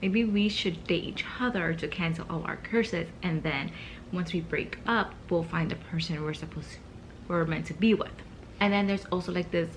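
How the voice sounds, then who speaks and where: A woman's fairly low voice with vocal fry and ordinary pitch variation. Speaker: book vlogger. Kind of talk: casual vlog. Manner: speaking low, early morning.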